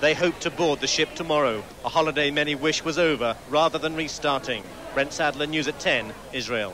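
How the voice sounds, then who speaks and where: Against noticeable background noise, a man speaks in a serious tone at a fairly quick pace, his fairly high voice showing ordinary pitch variation. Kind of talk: archive TV news foreign correspondent reporting. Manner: formal, urgent, serious.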